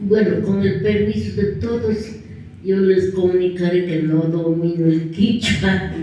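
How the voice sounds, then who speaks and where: A woman's very slow speech at medium pitch with ordinary variation, with audible room echo and noticeable background noise. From Ecuador, Imbabura highlands (Antonio Ante). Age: 70s. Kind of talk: testimony.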